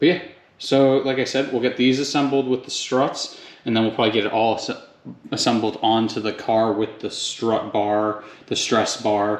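At a moderate pace, a man talks with fairly even intonation, and the room echo is audible. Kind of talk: tutorial. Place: garage. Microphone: phone near.

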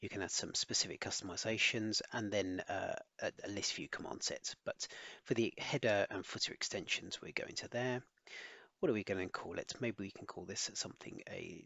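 This man talks at a moderate pace with an English accent. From England. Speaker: solution architect. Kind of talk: tutorial.

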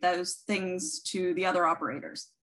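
A woman talks at a moderate pace. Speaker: guest. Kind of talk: interview answer. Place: home room. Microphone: webcam.

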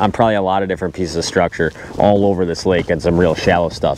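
A man talks at a very fast pace. The sound is dry with no echo, with light background noise. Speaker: fishing vlogger. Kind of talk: casual vlog chat. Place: open country. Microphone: lapel.

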